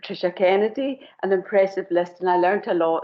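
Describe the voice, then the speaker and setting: Speaking in a Scottish accent, a woman with a medium-pitched voice keeps a moderate pace and fairly even intonation. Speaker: committee member, charity administrator. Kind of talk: self-introduction at council meeting.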